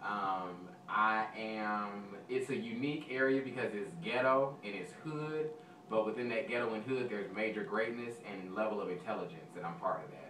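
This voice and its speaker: A man with an American accent and a fairly low pitch speaks at a moderate pace with ordinary pitch variation and hardly any pauses, over noticeable background noise and audible room echo. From Texas, South Dallas. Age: 20s. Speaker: audition contestant, server and substitute teacher. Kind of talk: audition interview.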